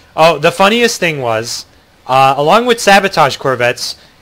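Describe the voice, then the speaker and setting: Bright and sharp, a man speaks with an American accent. He moves at a fairly quick pace with lively intonation. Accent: American accent, remarked on by viewers. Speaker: video game streamer. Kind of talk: live gameplay commentary. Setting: livestream. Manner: casual, filler-heavy with frequent ums and restarts.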